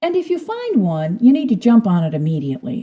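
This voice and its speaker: Somewhat breathy and dark, mellow in tone, a woman speaks at a moderate pace with very wide pitch swings. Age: 60s. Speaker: podcast host. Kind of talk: personal storytelling.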